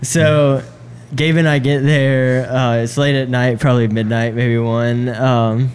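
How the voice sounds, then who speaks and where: Over noticeable background noise, a man speaks fairly slowly at a medium pitch with fairly even intonation. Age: 20s. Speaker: keyboard player. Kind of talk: casual chat.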